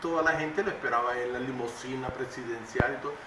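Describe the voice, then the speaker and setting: Moderately paced speech from a man, ordinary pitch variation, audible room echo, and noticeable background noise. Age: 60s. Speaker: oral historian, storyteller. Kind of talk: storytelling interview. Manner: halting.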